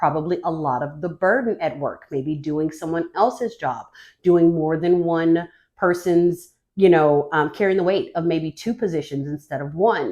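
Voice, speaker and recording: In a normal speaking voice, a woman talks at a moderate pace and a fairly low pitch. Her pitch varies an ordinary amount against a quiet background. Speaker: tarot reader. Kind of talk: tarot reading to camera. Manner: casual, filler-heavy.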